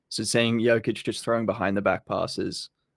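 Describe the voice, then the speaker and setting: A man with an Australian accent in a very clean recording, silent in the background, with a dry, close sound and no echo. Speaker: basketball YouTuber. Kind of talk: podcast interview. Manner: energetic.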